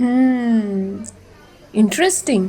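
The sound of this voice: A woman's put-on character voice, dark and mellow in tone, very slow in pace, with lively intonation. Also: fairly high pitch for a woman.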